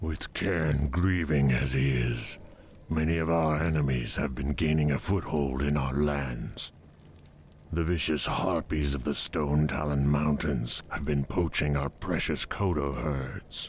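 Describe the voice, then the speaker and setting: Over clear background noise, a man puts on a character voice, very deep and low in pitch, at a fairly slow pace. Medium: video game. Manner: measured, earnest.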